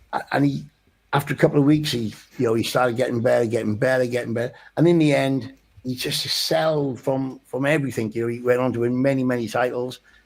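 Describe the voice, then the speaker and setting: A man in a Welsh accent, medium-pitched and very fast, with fairly even intonation. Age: 60s. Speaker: boxing coach. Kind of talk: radio interview. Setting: studio. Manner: halting.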